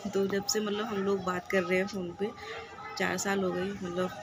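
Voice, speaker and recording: In a room with audible echo and crowd noise behind her, a woman speaks at a moderate pace and medium pitch with monotone, flat intonation. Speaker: vlogger. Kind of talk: casual vlog talk to camera.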